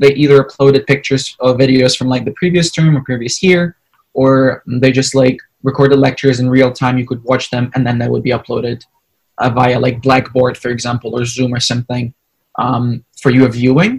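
A man with a somewhat breathy voice speaks at a fairly quick pace and with fairly even intonation. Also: medium pitch for a man. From Ukraine. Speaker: exchange student. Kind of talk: interview.

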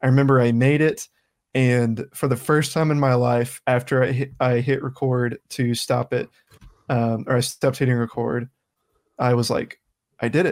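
A man with an American accent and an ordinary speaking voice speaks at a moderate pace in a medium pitch, with fairly even intonation and very even loudness, on a very clean recording with a silent background and a dry, close sound with no echo. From US South. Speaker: podcast host. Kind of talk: casual chat.

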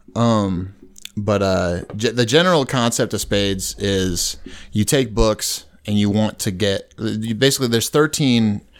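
In a very clean recording with a silent background, a man with a plain, everyday voice and a fairly low pitch talks at a fairly slow pace with ordinary pitch variation. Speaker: army veteran. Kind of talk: casual chat.

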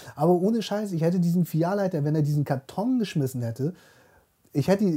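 Very fast and high-pitched, a man talks with a dark, mellow tone and ordinary pitch variation. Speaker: podcast co-host. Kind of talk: casual chat.

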